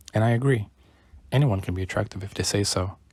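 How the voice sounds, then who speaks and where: Words come very fast from a man. There is a somewhat breathy quality to his voice. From Brazil. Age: 20s. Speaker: YouTuber. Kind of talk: personal vlog monologue.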